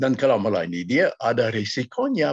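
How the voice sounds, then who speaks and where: A man with an English accent speaks at a moderate pace with vocal fry. The sound is dry and close, without echo. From United States. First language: English (speaking Indonesian). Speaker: missionary preacher. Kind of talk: sermon. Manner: halting.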